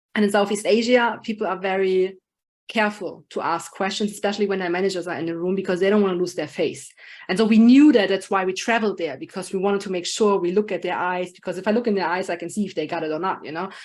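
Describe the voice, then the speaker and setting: With a German accent, a woman talks at a very fast pace and medium pitch, on a very clean recording with a silent background. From Germany. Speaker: project manager and business consultant. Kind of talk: podcast interview. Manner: animated.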